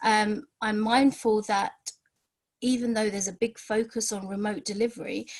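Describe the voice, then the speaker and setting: A woman's somewhat breathy voice sits fairly high in pitch, with fairly even intonation. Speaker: outreach education provider presenter. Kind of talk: webinar presentation. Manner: fast; hesitant, many fillers and repeats.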